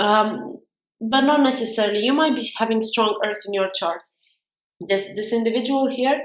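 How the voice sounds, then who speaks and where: Woman with a non-native accent, fairly high pitch and ordinary pitch variation, heard with audible room echo. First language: not English. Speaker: tarot reader. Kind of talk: tarot reading monologue. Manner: halting.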